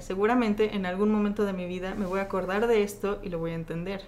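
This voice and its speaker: A woman speaks in a Mexican accent at a fairly quick pace. Her intonation stays fairly even. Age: 20s. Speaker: churchgoer sharing her faith story. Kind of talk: testimony.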